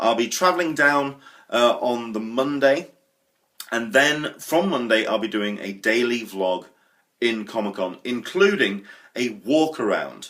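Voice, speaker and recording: With a British accent, a man speaks fairly slowly using lively intonation. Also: medium pitch for a man. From England. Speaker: vlogger. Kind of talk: vlog monologue. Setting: home kitchen. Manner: casual, chatty.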